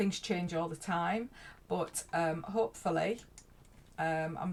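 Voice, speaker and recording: In a Yorkshire accent, a woman speaks with a fairly low, somewhat breathy voice and ordinary pitch variation. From Yorkshire, northern England. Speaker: life coach. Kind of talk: casual vlog talk. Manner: hesitant, many fillers.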